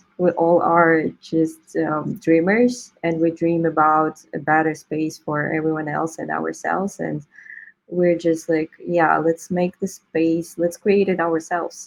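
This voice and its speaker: A woman with a non-native accent, her pitch fairly low and her pace fairly slow. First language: not English. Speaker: crypto artist. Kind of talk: interview.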